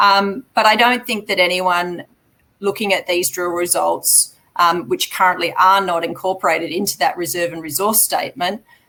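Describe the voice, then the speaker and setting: With a bright, sharp tone, a woman speaks at a moderate pace in a medium pitch with ordinary pitch variation. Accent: Australian. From Australia. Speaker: mining company chief executive. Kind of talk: investor Q&A. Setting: live online webinar.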